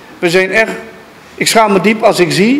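A man speaks over light background noise. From Suriname. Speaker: surgeon and donor. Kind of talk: speech at a donation ceremony. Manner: halting. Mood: earnest, ashamed, emotional. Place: hall. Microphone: handheld.

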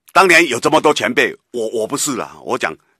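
Over a quiet background, a man speaks with a bright, sharp tone, vocal fry and lively intonation, the sound dry with no echo. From Taiwan. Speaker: radio political commentator. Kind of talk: talk radio commentary. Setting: radio studio. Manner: animated, emphatic. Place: studio.

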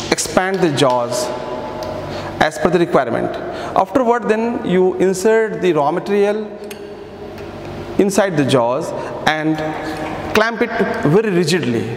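A man with a high-pitched voice talks at a fairly slow pace, leaving long, frequent pauses. Light background noise and audible room echo are present. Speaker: workshop instructor. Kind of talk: tutorial. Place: workshop.

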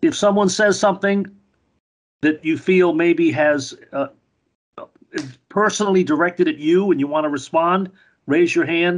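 A man with a high pitch speaks at a fairly slow pace, using ordinary pitch variation and long, frequent pauses. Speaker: editorial board moderator. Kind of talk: meeting moderation. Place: home room. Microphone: video call.

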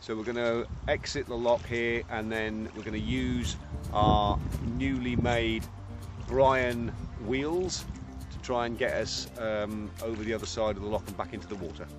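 Clear music plays behind a man who speaks at a moderate pace in a fairly low voice, the sound dry with no echo. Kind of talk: casual vlog chat. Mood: cheerful, relaxed. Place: waterside. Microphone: camera far.

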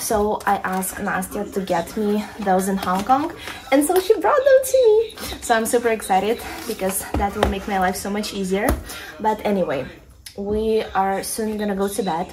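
The speaker moves at a moderate pace with ordinary pitch variation, and background noise is noticeable. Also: woman. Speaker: vlogger. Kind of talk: casual vlog chat. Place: home room. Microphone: phone near.

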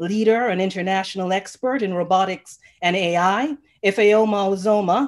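In a quiet setting, a woman speaks at a moderate pace with ordinary pitch variation. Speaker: panel moderator. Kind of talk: introductions for a panel. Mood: warm, smiling. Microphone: video call.

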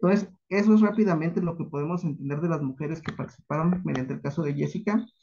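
Noticeable background noise sits behind a man talking. His pace is fairly quick, and his pitch variation is ordinary. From Mexico, Michoacán (Paracho); Michoacán, Mexico. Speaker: academic researcher; conference presenter. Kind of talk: conference talk. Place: home room. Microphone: video call.

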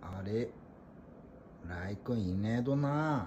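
A man speaks very slowly in an Ibaraki accent, somewhat breathy, with lively intonation. Light background noise can be heard. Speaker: pet owner. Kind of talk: casual vlog talk while searching for a pet cat. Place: home room. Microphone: phone near.

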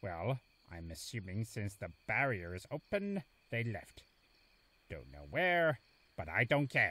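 A man's cartoonish character voice, fairly low in pitch, bright and sharp in tone, with big pitch swings at a fairly slow pace

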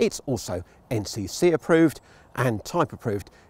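Speaking at a moderate pace with lively intonation, a man has a dark, mellow tone in a dry recording with no echo. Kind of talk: vehicle review presentation. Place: open country.

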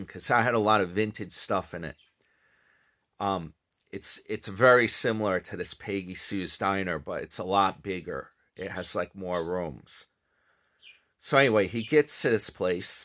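Against a quiet background, a man with a fairly low pitch and a bright, sharp tone speaks at a moderate pace with ordinary pitch variation and long, frequent pauses. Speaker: commentary vlogger. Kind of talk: casual vlog commentary. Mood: amused, mocking. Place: home room. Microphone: phone near.

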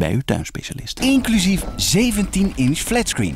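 With music behind him, a man speaks at a moderate pace. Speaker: voice actor. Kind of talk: TV and radio commercial reads (showreel).

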